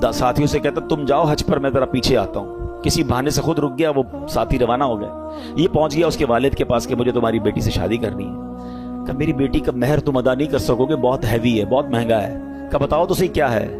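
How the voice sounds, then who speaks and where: Music plays behind a man whose intonation is lively. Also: medium pitch for a man. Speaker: Islamic preacher. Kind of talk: Islamic sermon (bayan) delivered to an audience. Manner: emotional, conversational, lively.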